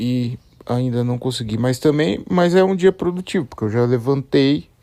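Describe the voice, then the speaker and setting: The man speaks at a medium pitch. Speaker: solo podcaster. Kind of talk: casual solo monologue. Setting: at home, bedroom. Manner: slow; relaxed, hesitant.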